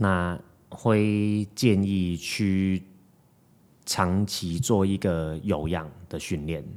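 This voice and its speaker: On a very clean recording with a silent background, a man with a very deep, low pitch speaks at a very slow pace and fairly even intonation. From Hong Kong. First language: Cantonese (speaking Chinese). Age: 20s. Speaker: fitness coach. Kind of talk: casual chat.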